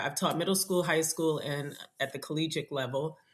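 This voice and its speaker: This is a woman with an unremarkable speaking voice, fairly low in pitch with fairly even intonation. The recording is very clean, with a silent background. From New York City, Nigerian family. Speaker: district math specialist. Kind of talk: podcast interview.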